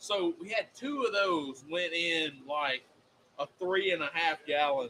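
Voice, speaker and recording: Over noticeable background noise, a man with a Southern accent talks at a fairly slow pace in a high pitch with lively intonation. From US South. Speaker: podcast co-host. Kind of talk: casual chat. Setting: live stream.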